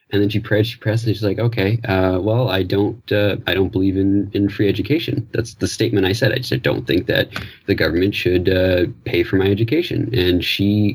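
A man talks at a moderate pace in a fairly low, somewhat breathy voice. His pitch varies in an ordinary way. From Newfoundland, Canada. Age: 20s. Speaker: caller, theatre artist. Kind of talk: call-in conversation. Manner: halting.

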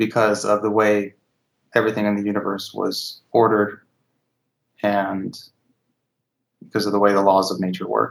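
A man with a fairly low pitch talks at a moderate pace in a monotone, flat intonation. His speech has long, frequent pauses. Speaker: caller. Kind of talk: call-in conversation.

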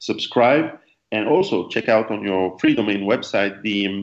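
With a French accent, a man talks at a moderate pace in a fairly low voice with ordinary pitch variation. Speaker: survivalist author and interviewer. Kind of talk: interview. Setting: call.

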